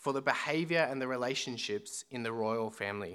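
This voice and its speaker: A man with an Australian accent, bright and sharp in tone, at a moderate pace, on a very clean recording with a silent background. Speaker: student minister. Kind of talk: sermon. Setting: church.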